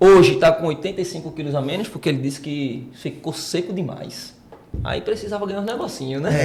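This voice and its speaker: A man's fairly high voice at a fairly quick pace, with ordinary pitch variation and noticeable background noise. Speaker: podcast co-host, personal trainer. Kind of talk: casual podcast chat. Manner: animated.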